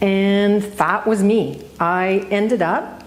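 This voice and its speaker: A woman talks with a Canadian accent. Audible room echo and noticeable background noise surround her voice. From central Ontario, Canada. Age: 60s. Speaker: retired newspaper editor. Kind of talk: public talk. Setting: stage with audience. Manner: conversational, self-correcting.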